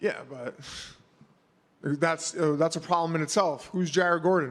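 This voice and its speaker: A man with a New York accent, high pitch, ordinary pitch variation and a moderate pace. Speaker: mixed martial arts fighter. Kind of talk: media scrum interview. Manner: casual, halting with fillers.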